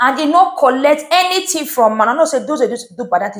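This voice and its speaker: The background is quiet. A woman speaks with very wide pitch swings. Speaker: vlogger. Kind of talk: casual vlog commentary. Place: home room. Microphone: lapel.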